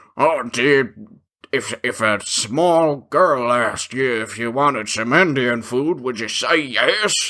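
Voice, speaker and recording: A raspy put-on character voice at a fairly slow pace. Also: man, medium pitch for a man. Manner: slurping, messy.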